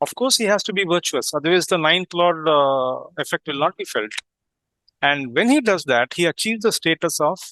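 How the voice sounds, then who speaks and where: A man's high-pitched voice, bright and sharp in tone, with long, frequent pauses, a dry, close sound free of echo, and a quiet background. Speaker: astrologer. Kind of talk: group discussion lecture. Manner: halting.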